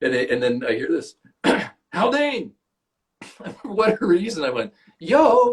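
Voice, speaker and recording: A man with an American accent speaks at a fairly slow pace, leaving long, frequent pauses. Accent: Canadian English, trained toward American. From Canada. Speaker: actor. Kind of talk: casual chat. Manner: animated.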